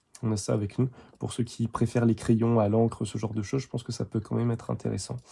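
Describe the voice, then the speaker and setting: Somewhat breathy, a man talks at a fairly quick pace. His medium-pitched voice has a dark, mellow tone. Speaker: art supplies reviewer. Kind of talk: product review tutorial. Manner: halting, stumbling.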